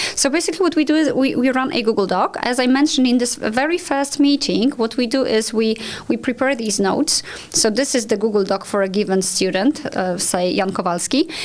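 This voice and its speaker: A woman's high, lively voice with a Polish accent, fairly quick and very even in loudness, over noticeable background noise. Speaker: language school owner. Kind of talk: podcast conversation.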